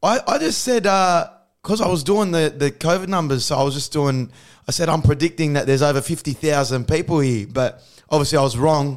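In an Australian accent, a man speaks at a fairly quick pace with a fairly high pitch. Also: ordinary pitch variation. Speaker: comedian. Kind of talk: casual chat. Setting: video call.

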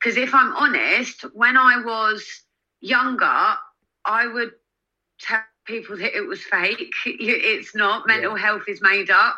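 Loud and very slow, a woman talks in a high pitch with a bright, sharp tone and ordinary pitch variation. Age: 30s. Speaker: magazine editor and influencer. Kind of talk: casual chat.

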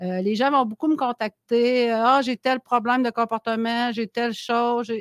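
This woman has a plain, everyday voice, fairly high in pitch, and she speaks at a moderate pace. The sound is dry and close with no echo, very clean against a silent background. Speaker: animal shelter founder. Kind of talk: casual chat.

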